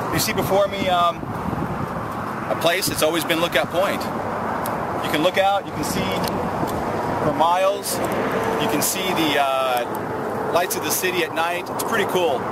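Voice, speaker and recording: The man talks at a fairly slow pace. His voice sounds dry with no echo, set against loud background noise. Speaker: military veteran. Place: open country.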